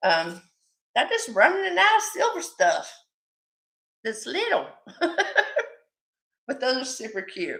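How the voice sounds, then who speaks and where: A woman's high voice has a bright, sharp tone and very wide pitch swings. She talks at a fairly slow pace with long, frequent pauses. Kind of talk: live-stream sales chat. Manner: loud; mumbling.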